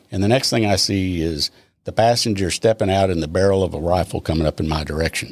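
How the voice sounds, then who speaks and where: In a Texan accent, a man with a very deep, low pitch talks at a very fast pace with ordinary pitch variation, recorded dry and close with no echo. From Texas, Austin. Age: 70s. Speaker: retired police officer. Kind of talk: interview.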